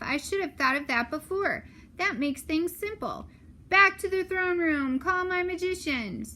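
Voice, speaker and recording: Using a put-on character voice, a woman speaks at an extremely high pitch with lively intonation and a moderate pace. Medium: read story. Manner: impatient, fussy.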